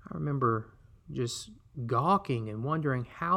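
A man speaks in a bright, sharp tone with lively intonation against a quiet background. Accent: Alabama. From US South, Alabama. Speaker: podcast host and missionary. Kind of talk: solo podcast storytelling.

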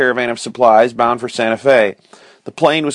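Simply a natural reading voice.

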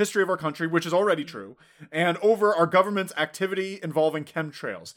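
At a very fast pace, a man talks at a high pitch with fairly even intonation. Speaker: podcast host. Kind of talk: casual chat podcast banter. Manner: joking, trying a smooth NPR-style delivery.

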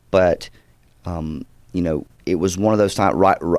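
The man speaks with a slight Southern US accent. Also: very clean recording, silent background. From US South, Georgia. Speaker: actor. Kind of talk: casual interview chat.

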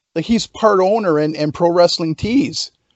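The intonation is lively and the pace fairly slow. It is a man's voice, pitched high. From Canada. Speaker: pro wrestler. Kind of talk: casual chat.

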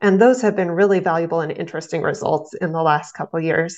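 Against a quiet background, a woman with an American accent uses a plain, everyday voice, fairly low in pitch and with fairly even intonation. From southeast Nebraska. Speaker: agricultural extension educator. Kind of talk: interview.

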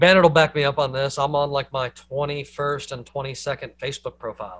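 A man speaks with a Southern US accent. His pace is moderate. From US South. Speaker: podcast host. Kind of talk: casual chat.

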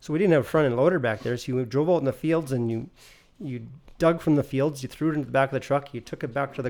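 In a Canadian Prairie accent, a man talks very fast with ordinary pitch variation. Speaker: family business owner. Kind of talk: casual chat.

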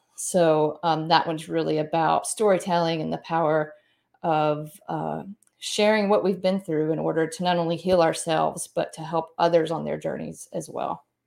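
A woman speaks with a Southern US accent at a moderate pace. The recording is very clean, with a silent background. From US South, Mississippi. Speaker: author and speaker. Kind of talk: interview.

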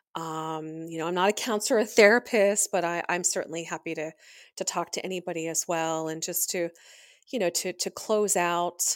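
A woman with an American accent speaks in a normal speaking voice, fairly low in pitch, at a moderate pace with fairly even intonation, on a very clean recording with a silent background. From Pennsylvania. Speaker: grieving daughter, podcast guest. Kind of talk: personal testimony.

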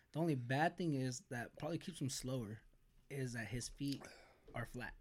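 With an American accent, a man uses an ordinary speaking voice at a medium pitch, with ordinary pitch variation and a fairly quick pace. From US West Coast, Bakersfield, California. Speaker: YouTuber. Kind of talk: casual chat.

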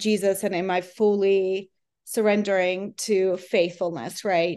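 A woman at a medium pitch, speaking very slowly in a flat monotone. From Eastern Europe. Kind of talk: casual interview.

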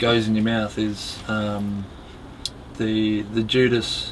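A man with an Australian accent speaks at a very slow pace and a medium pitch, with audible room echo and noticeable background noise. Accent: Australian, non-UK. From Australia, Melbourne. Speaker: competition barista. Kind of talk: casual interview chat.

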